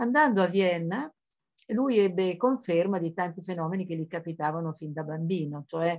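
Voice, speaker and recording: Here a woman speaks with an unremarkable speaking voice at a fairly low pitch. Her pace is moderate. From Emilia, Modena area (born in Florence). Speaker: journalist and writer on esoteric topics. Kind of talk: biographical lecture.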